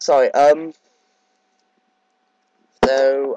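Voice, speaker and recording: With a British accent, a man talks in a fairly high pitch with lively intonation. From Britain. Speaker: Minecraft gamer. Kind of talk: casual talk to camera. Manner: hesitant, casual.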